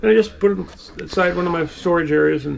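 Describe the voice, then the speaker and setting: Noticeable background noise and audible room echo surround a man speaking in a high voice. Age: 70s. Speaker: toy dealer. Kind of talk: casual chat.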